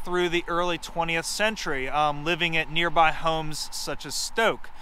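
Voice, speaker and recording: The man's raised, projected voice sits high in pitch and has a bright, sharp tone. He keeps a moderate pace and ordinary pitch variation in a dry sound with no echo. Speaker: heritage organization presenter. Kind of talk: guided heritage tour presentation. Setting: outdoors on location. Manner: heavy 'um' and 'uh' fillers. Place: open country. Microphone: phone near.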